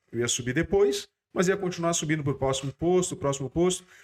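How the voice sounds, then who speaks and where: This man has a plain, everyday voice. His pitch runs fairly high, with lively intonation. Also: very clean recording, silent background. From Curitiba, southern Brazil. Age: 50s. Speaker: company CEO. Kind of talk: interview.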